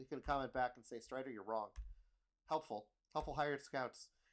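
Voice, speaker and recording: Talking at a fairly quick pace, a man with a fairly high pitch uses ordinary pitch variation. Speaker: game commentator. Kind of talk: live commentary. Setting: livestream. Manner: casual, filler-heavy.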